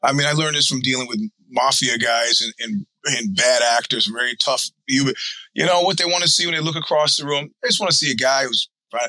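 Fairly quick delivery from a man, with ordinary pitch variation. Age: 60s. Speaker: podcast co-host, executive. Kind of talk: casual chat. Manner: halting.

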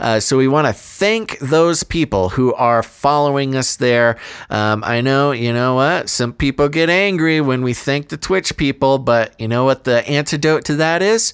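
This man has an ordinary speaking voice with a fairly high pitch and ordinary pitch variation, moving at a moderate pace with hardly any pauses. The recording is very clean, with a silent background. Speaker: podcast host. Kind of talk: casual chat.

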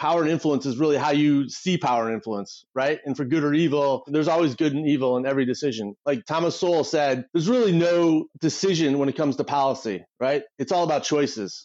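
A man with a Midwestern American accent, fairly high-pitched and very fast, with hardly any pauses, very even loudness and ordinary pitch variation. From US Midwest, Detroit area. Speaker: political strategist. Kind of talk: interview conversation. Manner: animated.

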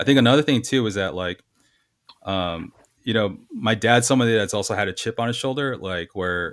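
With an American accent and a plain, everyday voice, a man speaks at a fairly quick pace with ordinary pitch variation on a very clean recording with a silent background. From Los Angeles, US. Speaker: graphic designer. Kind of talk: casual chat.

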